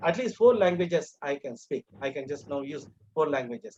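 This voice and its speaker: A man speaks with a Tamil Indian accent at a moderate pace. The sound is dry and close, with no echo. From Tamil Nadu, India. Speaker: English teacher educator. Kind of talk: lecture. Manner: halting, many fillers.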